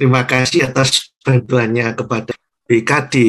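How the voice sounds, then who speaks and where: Fairly slow, somewhat breathy delivery in a flat monotone, against a quiet background. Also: man. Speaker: lecturer asking question. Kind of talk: question in discussion. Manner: halting, rambling. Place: home room. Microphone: video call.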